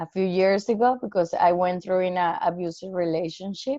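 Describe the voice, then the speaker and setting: A woman with a Spanish accent speaks at a medium pitch. Her tone is dark and mellow, with ordinary pitch variation. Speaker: actor. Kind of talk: workshop question.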